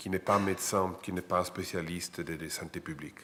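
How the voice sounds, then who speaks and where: A man speaks with an Italian accent at a moderate pace. His pitch is very deep and low. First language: Italian (speaking French). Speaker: international lawyer, associate professor. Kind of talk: panel talk. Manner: halting.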